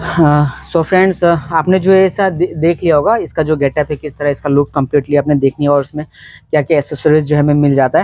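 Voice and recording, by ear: Fairly quick speech in a slightly mellow tone with little pitch movement, dry and close with no echo. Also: man, fairly high pitch for a man.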